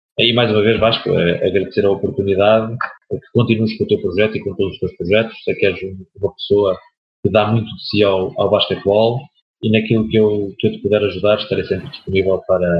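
Speaking at a fairly quick pace, a man with a fairly low, somewhat breathy voice keeps his intonation fairly even. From Portugal, Aveiro district. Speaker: basketball coach. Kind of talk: interview. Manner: halting.

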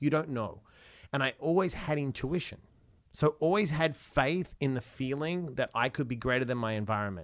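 On a very clean recording with a silent background, a man with an Australian accent speaks at a moderate pace and a fairly high pitch, with an animated tone and lively intonation. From Australia, Perth. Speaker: motivational speaker and author. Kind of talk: interview conversation.

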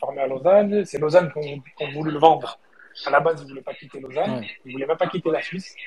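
Through noticeable background noise, a man talks very fast at a fairly high pitch, with ordinary pitch variation and big swings in loudness. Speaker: football fan caller. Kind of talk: casual chat. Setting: on a train. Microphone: poor reception.

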